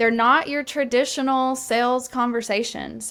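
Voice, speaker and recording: A woman with a slight Southern US accent, at a moderate pace. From Alabama, US South. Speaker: sales coach. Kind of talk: interview podcast.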